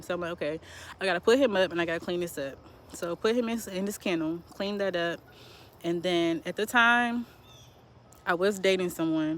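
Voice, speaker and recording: The speaker is a woman with a fairly quick pace. Her pitch shows ordinary variation. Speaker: survivor of family homicide. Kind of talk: testimony.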